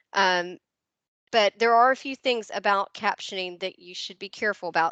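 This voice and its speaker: With a slight Southern US accent, a woman speaks in a bright, sharp tone, with fairly even intonation at a moderate pace over a quiet background. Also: dry, close sound with no echo. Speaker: educational technology trainer. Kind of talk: webinar presentation. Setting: video call. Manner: hesitant, many fillers.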